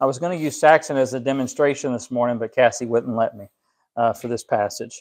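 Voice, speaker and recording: A man talks at a very fast pace with ordinary pitch variation and big swings in loudness. The background is quiet. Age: 30s. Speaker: pastor; preacher. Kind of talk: sermon. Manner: halting. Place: home room.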